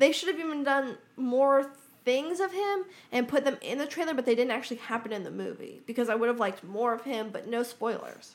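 This woman talks fairly quickly with lively intonation and a high pitch. Noticeable background noise sits behind her. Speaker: podcast co-host. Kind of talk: casual chat.

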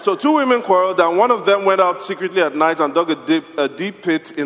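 A man with a high pitch, lively intonation and an animated, playful tone at a moderate pace, over noticeable background noise. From Nigeria; Yoruba, West Africa. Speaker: pastor. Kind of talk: sermon; storytelling, call-and-response folk tale. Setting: church. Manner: animated, playful, inviting audience to answer.

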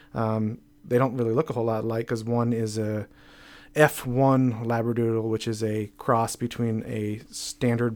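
A plain, everyday voice, a man with an American accent speaks at a moderate pace and medium pitch with fairly even intonation, on a very clean recording with a silent background. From northern New York State, Plattsburgh. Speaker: accountant. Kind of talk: casual chat. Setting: studio.

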